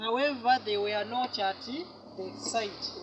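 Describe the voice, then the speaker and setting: With a strong Ugandan accent, the speaker talks very slowly against noticeable background noise. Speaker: tour guide. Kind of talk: guided tour storytelling.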